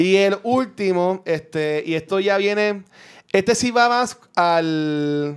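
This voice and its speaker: Ordinary pitch variation marks this man's high-pitched voice. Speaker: podcaster. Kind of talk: casual chat.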